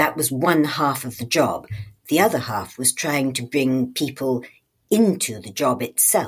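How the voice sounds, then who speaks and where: A woman talks at a fairly slow pace in a very deep, low pitch, with lively intonation and big swings in loudness. The recording is very clean, with a silent background. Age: old. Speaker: retired judge and author. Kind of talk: interview.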